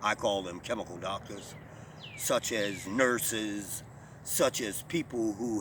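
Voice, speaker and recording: A man talks at a fairly low pitch in an ordinary speaking voice. His intonation stays fairly even. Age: 60s. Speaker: natural healer and talk show host. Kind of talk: monologue talk show. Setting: online video talk show.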